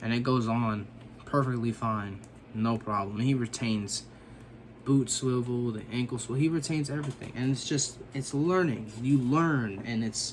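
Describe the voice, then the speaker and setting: A man speaks in a plain, everyday voice at a medium pitch. His pitch varies in an ordinary way, and his pace is moderate. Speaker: action figure customizer, YouTuber. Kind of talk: casual tutorial vlog. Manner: casual, filler-heavy.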